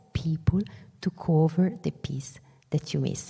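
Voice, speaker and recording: With an Italian accent, a woman speaks at a fairly low pitch, her somewhat breathy voice dark and mellow in tone and her pitch varying in an ordinary way. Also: very clean recording, silent background. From northern Italy, Venice lagoon area. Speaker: business executive, keynote speaker. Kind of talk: keynote speech. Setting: stage with audience. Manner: animated.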